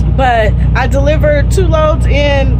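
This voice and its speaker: A woman talks at a fairly slow pace while loud background noise fills the recording. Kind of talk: casual vlog chat. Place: street. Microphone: phone near.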